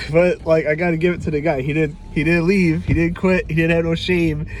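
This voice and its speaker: A man with a New York accent, high-pitched, with fairly even intonation. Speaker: music teacher. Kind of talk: tutorial; casual chat. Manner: informal.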